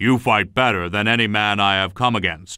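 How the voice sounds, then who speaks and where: A man growls through a put-on character voice at a fairly low pitch and moderate pace. His loudness stays very even and his intonation fairly even. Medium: read story.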